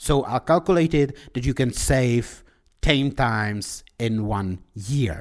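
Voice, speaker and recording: With a Czech accent, a man at a medium pitch talks at a very slow pace with lively intonation in a very clean recording with a silent background. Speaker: podcaster. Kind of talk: solo podcast monologue. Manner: halting.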